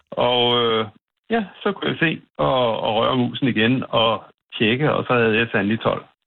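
Using a normal speaking voice, a man talks at a medium pitch with lively intonation, a fairly slow pace, and very even loudness. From North Zealand, Denmark. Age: 50s. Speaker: farmer. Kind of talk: phone interview. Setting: phone call.

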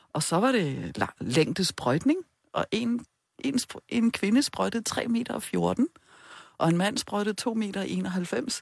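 With vocal fry and very wide pitch swings around a medium pitch, a woman speaks at a very slow pace in a dry, close sound with no echo. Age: 50s. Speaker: sex therapist. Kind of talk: interview.

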